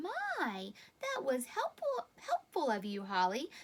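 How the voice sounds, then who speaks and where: Using a put-on character voice with a warm tone, a woman speaks at a fairly slow pace in a high pitch with very wide pitch swings. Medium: read story. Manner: warm, patient.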